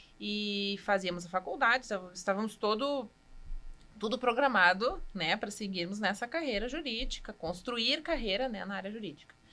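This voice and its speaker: Woman's medium-pitched voice, bright and sharp in tone, with lively intonation at a moderate pace. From Rio Grande do Sul, Passo Fundo. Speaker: cheesemaker. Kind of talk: podcast interview.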